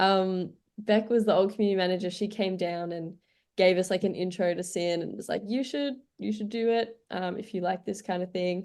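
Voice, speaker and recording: With an Australian accent, a woman talks fairly quickly at a medium pitch and fairly even intonation against a quiet background. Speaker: community radio music director. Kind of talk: radio interview.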